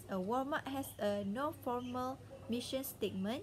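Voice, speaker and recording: A woman's high-pitched voice with ordinary pitch variation over light background noise. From Malaysia. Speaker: university student; presenter. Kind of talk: class presentation. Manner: halting. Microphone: webcam.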